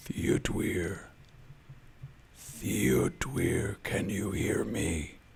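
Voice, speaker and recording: A man does a put-on character voice at a very slow pace over clear background noise. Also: fairly low pitch for a man. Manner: calling out.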